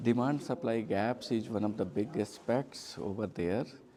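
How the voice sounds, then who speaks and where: A man speaks at a very slow pace with ordinary pitch variation. Noticeable background noise is present. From India. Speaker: workshop participant. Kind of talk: group discussion. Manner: hesitant, many fillers.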